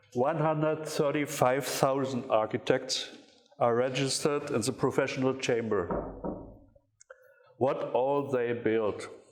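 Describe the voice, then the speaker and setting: A man's medium-pitched voice in a German accent, fairly slow and fairly even in intonation, with audible room echo. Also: very even loudness. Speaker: architecture critic. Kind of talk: lecture. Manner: reading from paper; halting.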